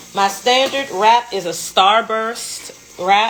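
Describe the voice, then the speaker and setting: With noticeable background noise, a woman speaks with a Washington DC accent and ordinary pitch variation. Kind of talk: live-stream tutorial. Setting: Instagram live stream. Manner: casual, relaxed.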